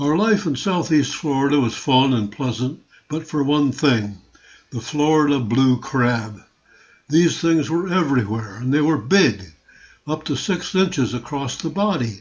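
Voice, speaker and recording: At a fairly slow pace, a somewhat breathy man with an American accent speaks at a fairly high pitch with lively intonation. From US Northeast, Rochester, New York. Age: 80s+. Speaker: retiree narrating family memoir. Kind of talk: scripted narration of a photo slideshow.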